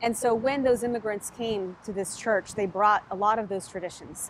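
A woman speaks at a fairly quick pace with fairly even intonation. The sound is dry with no echo, with light background noise. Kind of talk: interview answer. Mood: warm, engaged. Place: garden. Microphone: lapel.

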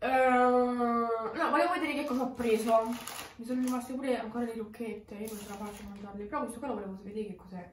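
A woman talking at a very fast pace with ordinary pitch variation, amid audible room echo and light background noise. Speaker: vlogger. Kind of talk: casual vlog chat, mukbang. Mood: playful, laughing. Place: home room. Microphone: phone near.

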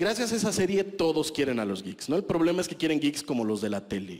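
A man with a Mexican accent, vocal fry and very wide pitch swings. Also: quiet background. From Mexico. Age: 30s. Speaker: stand-up comedian. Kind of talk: stand-up comedy set, rude and self-deprecating, crowd-laughter punchlines. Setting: stage with audience. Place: stage. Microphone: handheld.

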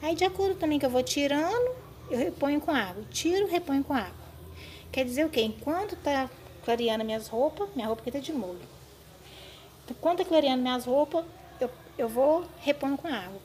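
The woman's voice is high-pitched, with lively intonation. Light background noise can be heard. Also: fairly quick pace. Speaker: home cleaning tips vlogger. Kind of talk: tutorial. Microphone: phone near.

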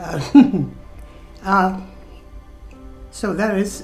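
Faint music plays behind a woman whose medium-pitched voice shows ordinary pitch variation. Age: 80s+. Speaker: painter. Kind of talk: interview answer. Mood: modest, warm, gently proud. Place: home room.

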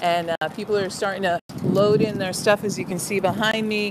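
Over loud background noise, a woman talks at a moderate pace with a dry sound and no echo. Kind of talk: casual vlog chat. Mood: cheerful. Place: street. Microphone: phone near.

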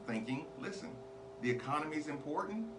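A man talks at a moderate pace while noticeable background noise plays behind him. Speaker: podcast host. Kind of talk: opinion commentary monologue. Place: studio. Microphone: studio mic.

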